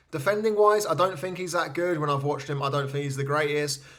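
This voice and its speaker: Audible room echo surrounds a man speaking at a fairly high pitch with an English accent. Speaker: fantasy football card collector youtuber. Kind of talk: casual commentary while opening cards. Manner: fast; enthusiastic.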